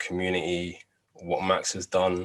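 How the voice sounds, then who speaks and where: A man with a London accent. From London, England. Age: 20s. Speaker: no-code project presenter. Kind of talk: project demo presentation.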